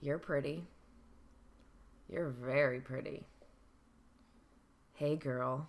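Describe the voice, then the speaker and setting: A raspy, put-on character voice sits at a low-to-middle pitch. It moves at a very slow pace with long, frequent pauses. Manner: flirtatious, teasing.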